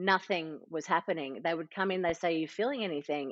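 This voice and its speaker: A woman's fairly low voice in an Australian accent, fairly quick in pace, with ordinary pitch variation. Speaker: entrepreneur and mother. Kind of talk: podcast interview.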